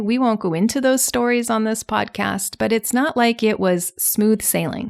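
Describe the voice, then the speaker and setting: In a very clean recording with a silent background, a woman with an unremarkable speaking voice and a fairly high pitch speaks at a moderate pace with lively intonation. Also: dry, close sound with no echo. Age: 40s. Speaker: podcast host and alcohol coach. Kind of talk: solo podcast monologue. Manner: conversational.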